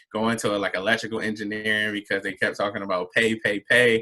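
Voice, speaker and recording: The man has a Baltimore accent and a medium pitch. His tone is bright and sharp. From Baltimore, Maryland, US. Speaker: mental health advocate. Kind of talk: panel interview. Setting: live stream.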